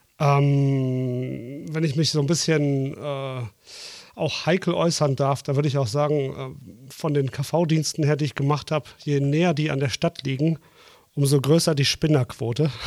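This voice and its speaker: A man with a slight Ruhr accent and fairly even intonation. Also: fairly high pitch for a man, fairly slow pace. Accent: slight Ruhr area. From Dortmund, Ruhr area. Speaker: co-host, general practitioner, former anaesthetist. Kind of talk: casual chat. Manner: hesitant with filler sounds.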